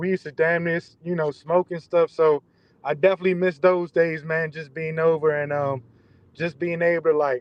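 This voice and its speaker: His fairly high voice stays monotone, with flat intonation throughout. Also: moderate pace. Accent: DMV. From Maryland, DMV area. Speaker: entrepreneur, artist. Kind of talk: casual interview chat. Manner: halting, many fillers.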